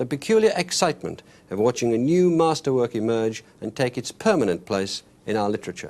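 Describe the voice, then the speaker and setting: A normal speaking voice from a man, at medium pitch. He talks at a fairly quick pace with lively intonation. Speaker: TV arts interviewer. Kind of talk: TV documentary introduction.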